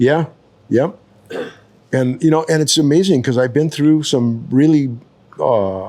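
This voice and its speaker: A man's dark, mellow tone. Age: 70s. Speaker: retired surf photographer and horseman. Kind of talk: casual chat. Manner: halting.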